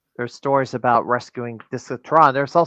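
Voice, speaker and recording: An unremarkable speaking voice from a man, fairly high-pitched, with a dry, close sound with no echo and a quiet background. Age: 50s. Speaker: podcast host. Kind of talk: casual interview chat.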